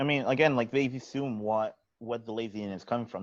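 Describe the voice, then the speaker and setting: Against a quiet background, a man with a plain, everyday voice talks at a fairly quick pace and a medium pitch, with fairly even intonation. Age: 20s. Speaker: youth mental health promoter. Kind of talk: podcast-style conversation.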